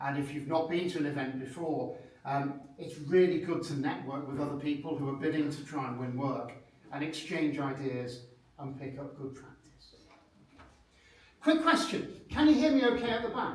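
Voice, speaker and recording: A man with a British accent and a fairly high pitch speaks at a moderate pace with ordinary pitch variation and big swings in loudness, amid audible room echo and noticeable background noise. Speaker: proposal management consultant. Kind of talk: seminar presentation. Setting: conference room with audience, microphones.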